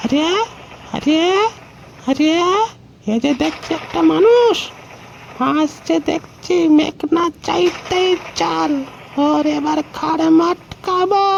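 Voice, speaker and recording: A cartoonish character voice, high in pitch and very slow in pace, over clear background noise. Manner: rough and familiar, uses intimate address.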